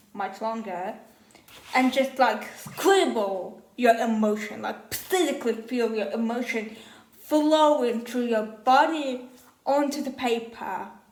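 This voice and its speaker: Someone with a non-native accent speaks at a very slow pace, with audible room echo and noticeable background noise. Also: woman. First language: not English. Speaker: first-time YouTuber, journaling advocate. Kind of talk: casual vlog monologue. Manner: casual, filler-heavy.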